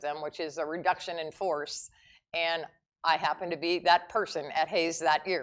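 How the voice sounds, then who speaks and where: On a very clean recording with a silent background, a woman with an American accent speaks at a fairly low pitch. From US Midwest, Youngstown, Ohio. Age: 60s. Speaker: retired teacher. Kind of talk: interview.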